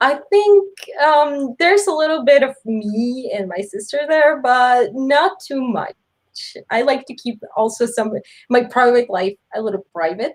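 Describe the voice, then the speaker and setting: Very wide pitch swings at a fairly slow pace. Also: woman, high pitch for a woman. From Mexico. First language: Spanish. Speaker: webtoon author. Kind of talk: interview. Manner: halting.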